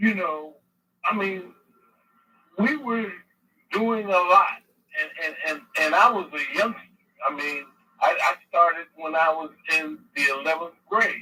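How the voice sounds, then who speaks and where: Using a raised, projected voice, a man speaks with a high pitch and lively intonation at a fairly slow pace, pausing long and often. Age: 60s. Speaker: caller. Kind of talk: call-in. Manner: halting.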